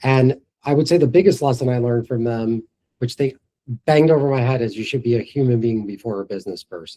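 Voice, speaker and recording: A man's medium-pitched voice with a New York accent, a dark, mellow tone, ordinary pitch variation, and a very fast pace. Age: 40s. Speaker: entrepreneur. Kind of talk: interview before live audience.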